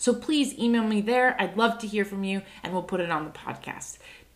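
Background noise is noticeable here. Through it, a woman speaks at a moderate speed. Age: 30s. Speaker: podcast host. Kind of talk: promotional plug.

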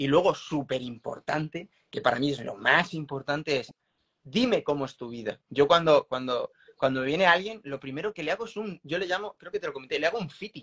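In a plain, everyday voice, a man talks at a fairly quick pace with fairly high pitch, lively intonation and big swings in loudness, the sound dry and close with no echo. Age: 40s. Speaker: former Olympic triathlete and strength coach. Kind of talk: interview.

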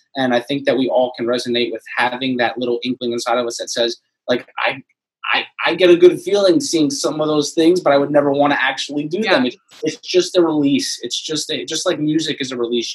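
This man's voice sits fairly high, moving fairly quickly with ordinary pitch variation. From Florida. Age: 30s. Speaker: anonymous social media page creator. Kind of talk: casual interview chat.

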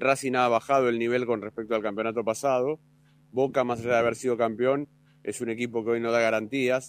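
Music plays in the background as a man talks in a Rioplatense accent at a medium pitch. His intonation is monotone and flat at a fairly quick pace. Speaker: football commentator. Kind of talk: casual radio analysis.

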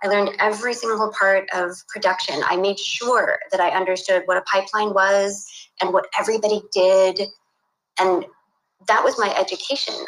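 In an ordinary speaking voice with an American accent, a woman talks at medium pitch and a moderate pace, with fairly even intonation and very even loudness. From California, US (San Luis Obispo). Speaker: animation director. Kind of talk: casual interview. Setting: remote call from home office.

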